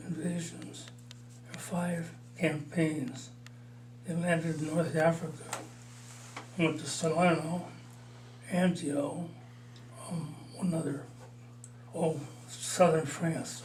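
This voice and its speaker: Amid noticeable background noise, a man with a Midwestern accent and a fairly high pitch talks at a very slow pace, with long, frequent pauses, big swings in loudness and fairly even intonation. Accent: American Midwest. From Illinois. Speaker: war veteran. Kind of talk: interview answer.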